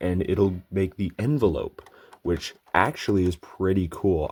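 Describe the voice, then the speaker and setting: A man speaks fairly slowly in a very deep, low pitch with fairly even intonation. The recording is very clean with a silent background. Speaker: toy reviewer. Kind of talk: product review. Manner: casual.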